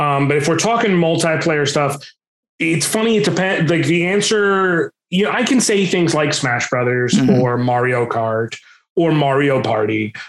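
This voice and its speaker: A plain, everyday voice at a moderate pace, with very even loudness and lively intonation. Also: man, fairly high pitch for a man. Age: 30s. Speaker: Twitch streamer and voice actor. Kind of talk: casual interview chat.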